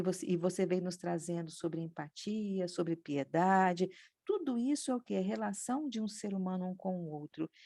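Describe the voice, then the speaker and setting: On a very clean recording with a silent background and a dry, close sound with no echo, a woman speaks at a moderate pace. Her pitch is medium, her tone dark and mellow, and her intonation lively. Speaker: spiritist study group participant. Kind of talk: religious study discussion. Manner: trailing off in volume.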